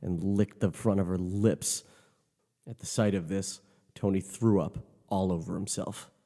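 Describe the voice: Over a quiet background, the text is read aloud plainly.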